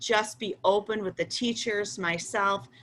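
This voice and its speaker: A woman has an unremarkable speaking voice with ordinary pitch variation. She keeps a moderate pace. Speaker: school principal. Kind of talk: online Q&A presentation for parents.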